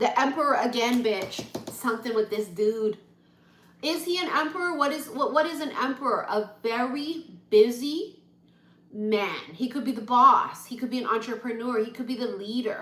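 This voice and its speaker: A woman talks loudly at a high pitch and a moderate pace, her animated tone carrying ordinary pitch variation. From Hawaii. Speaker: tarot reader. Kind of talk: live-stream tarot reading.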